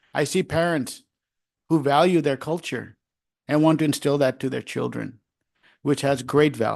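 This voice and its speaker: A man with a Gujarati accent speaks at a fairly high pitch. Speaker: school board trustee. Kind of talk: public meeting remarks.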